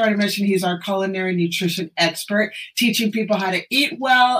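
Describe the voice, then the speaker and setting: A woman speaks at a medium pitch and a moderate pace, with ordinary pitch variation. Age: 60s. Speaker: functional medicine doctor. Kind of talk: casual chat. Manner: animated.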